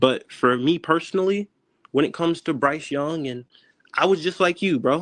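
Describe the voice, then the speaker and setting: A high-pitched man with an American accent speaks with ordinary pitch variation. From North Carolina. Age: 20s. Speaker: football fan and film analyst, military veteran. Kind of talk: casual debate on a live stream. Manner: energetic, fast.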